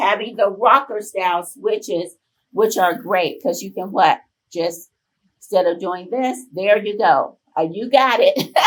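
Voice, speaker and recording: A woman in a plain, everyday voice speaks at a fairly slow pace and a medium pitch. Her pitch variation is ordinary, while her loudness swings widely. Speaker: volunteer group leader presenting on caregiving. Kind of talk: conference presentation.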